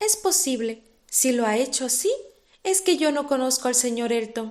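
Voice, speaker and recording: A woman with a high pitch speaks in a calm tone at a moderate pace, her intonation lively. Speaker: audiobook narrator. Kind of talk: reading aloud.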